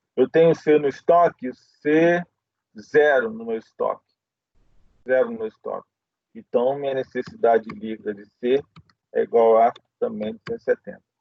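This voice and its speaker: Pitched fairly high, a man speaks at a moderate pace with very wide pitch swings. His loudness varies a lot, and he leaves long, frequent pauses. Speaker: professor. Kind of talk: lecture.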